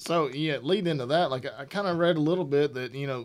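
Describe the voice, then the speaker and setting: A man with a Southern US accent speaks with ordinary pitch variation in a very clean recording against a silent background. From Alabama. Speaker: podcast co-host. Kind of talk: casual chat. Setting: studio.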